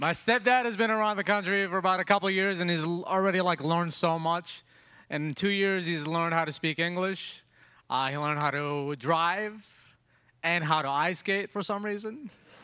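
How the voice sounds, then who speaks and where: Over a quiet background, a man with a Yemeni accent speaks in a high, bright, sharp voice with ordinary pitch variation. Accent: Yemeni Arabic-tinged American English. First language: Arabic. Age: 30s. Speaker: stand-up comedian. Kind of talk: late-night TV stand-up set, punchline-driven immigrant storytelling. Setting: theater stage with live audience. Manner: brisk, conversational joke pacing with quick tags. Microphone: handheld.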